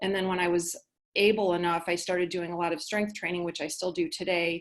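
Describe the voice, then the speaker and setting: A woman speaks in a normal speaking voice at a medium pitch. Her intonation is fairly even, and the background is quiet. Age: 60s. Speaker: physician and patient speaker. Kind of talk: webinar presentation. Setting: online webinar.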